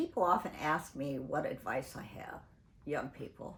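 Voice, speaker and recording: Lively intonation and a somewhat breathy voice at a moderate pace. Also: woman. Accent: American. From US Pacific Northwest, Portland, Oregon. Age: 80s+. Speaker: singer and activist. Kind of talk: interview. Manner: halting.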